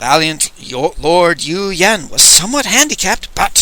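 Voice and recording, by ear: A natural voice reading a text aloud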